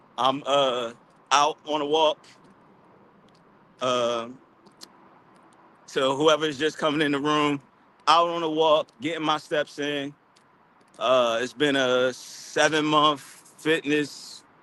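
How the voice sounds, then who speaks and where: With an American accent, a man speaks very slowly in a monotone, flat intonation at a fairly high pitch, leaving long, frequent pauses over noticeable background noise. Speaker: live streamer. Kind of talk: casual live stream monologue. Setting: outdoors on a walk. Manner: casual, repetitive.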